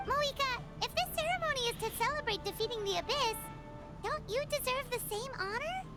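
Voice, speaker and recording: A put-on character voice, squeaky and extremely high in pitch, rattles along at a fairly quick pace. Music plays in the background. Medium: video game. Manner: eager, friendly.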